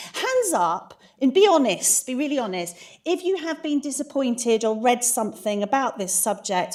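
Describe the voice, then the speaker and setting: A woman speaks with a British accent. Her pitch swings very widely. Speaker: conference speaker. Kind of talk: conference talk. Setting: stage with audience. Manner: fast; animated.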